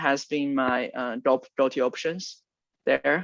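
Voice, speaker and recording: He is a man who speaks with a Chinese accent. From China. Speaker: product manager. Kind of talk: interview.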